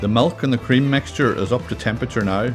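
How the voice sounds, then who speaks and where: A man with a Donegal accent at a fairly quick pace, music in the background. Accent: Donegal Irish. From Donegal, Ireland. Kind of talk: cooking video narration. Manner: wry, humorous.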